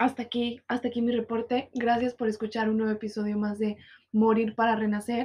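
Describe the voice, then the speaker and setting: A woman with a Mexican accent talks at a moderate pace in a fairly high pitch, her tone dark and mellow. She sounds somewhat breathy, and her intonation stays monotone and flat. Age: 20s. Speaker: podcast host. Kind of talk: personal monologue podcast. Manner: casual, with many fillers.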